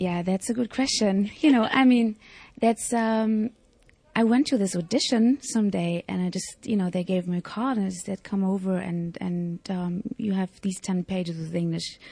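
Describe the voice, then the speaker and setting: Speaking with a German accent at a moderate pace, a woman has a medium pitch, ordinary pitch variation, a somewhat breathy quality and a dark, mellow tone against a quiet background. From East Germany. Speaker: actress. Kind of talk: interview. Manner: halting.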